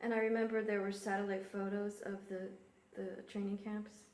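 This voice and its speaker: A woman of medium pitch at a moderate pace, flat and monotone, with long, frequent pauses over noticeable background noise. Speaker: oral history interviewer. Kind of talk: interviewer questions.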